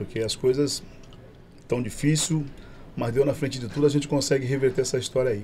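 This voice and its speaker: This man's voice is dark and mellow, somewhat breathy, and medium in pitch. He keeps a moderate pace. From Baixada Santista, Brazil. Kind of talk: casual chat.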